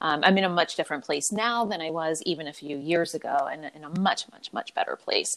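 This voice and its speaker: An unremarkable speaking voice from a woman with an American accent, fairly low in pitch with ordinary variation, in a very clean recording with a silent background and a dry, close sound with no echo. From US, Philadelphia. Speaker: abuse survivor and advocate, podcast host. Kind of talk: interview, personal testimony.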